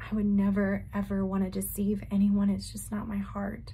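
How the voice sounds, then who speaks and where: A woman's dark, mellow tone, somewhat breathy, at a moderate pace. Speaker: religious vlogger. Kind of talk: casual vlog chat. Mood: earnest, emotional. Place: home room. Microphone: phone near.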